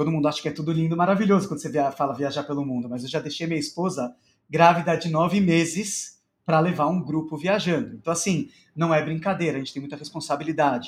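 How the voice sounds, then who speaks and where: Very fast in pace, a man talks at a fairly high pitch with ordinary pitch variation. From Brazil, São Paulo. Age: 30s. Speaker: rabbi and entrepreneur. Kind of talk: interview, casual chat. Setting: live-streamed podcast recording.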